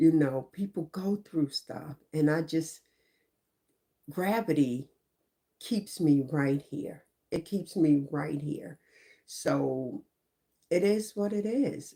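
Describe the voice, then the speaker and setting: A woman with an American accent speaks very slowly, with long, frequent pauses and lively intonation. Her voice is very deep and low, with a dark, mellow tone. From New York. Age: 60s. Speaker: YouTuber on mental health and life. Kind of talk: casual motivational monologue.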